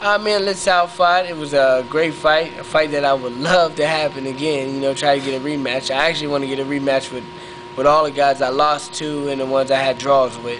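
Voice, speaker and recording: Over noticeable background noise, a man with an American accent and a fairly high pitch talks at a fairly quick pace with fairly even intonation. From western Pennsylvania, US. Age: 20s. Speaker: professional boxer. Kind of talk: interview. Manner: halting, many fillers.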